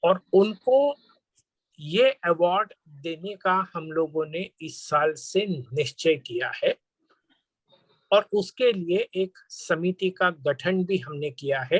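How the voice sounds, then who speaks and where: In a dry, close sound with no echo, a man with a Marathi accent speaks at a high pitch with lively intonation. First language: Marathi (speaking Hindi). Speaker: panel speaker. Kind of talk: formal speech. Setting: webinar.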